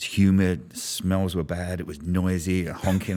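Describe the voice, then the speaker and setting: A man with a London accent and a very deep, low pitch, plus noticeable background noise. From London, England. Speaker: business strategist. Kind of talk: podcast interview.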